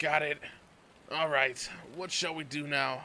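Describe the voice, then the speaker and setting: In a put-on character voice, a man sounds raspy and fairly high-pitched, speaking at a moderate pace with monotone, flat intonation. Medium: read story. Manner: relaxed, amused.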